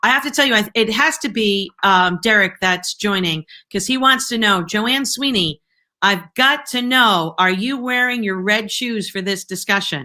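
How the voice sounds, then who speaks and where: On a very clean recording with a silent background, a woman with a Boston accent speaks at a moderate pace in a fairly high, bright, sharp voice with lively intonation. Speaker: live show host. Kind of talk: live interview wrap-up. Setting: live video stream. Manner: animated.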